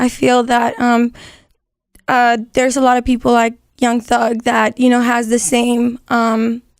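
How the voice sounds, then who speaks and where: A woman with a Spanish accent, high-pitched, at a fairly slow pace, on a very clean recording with a silent background. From Las Vegas, Nevada. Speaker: singer-rapper. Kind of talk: interview.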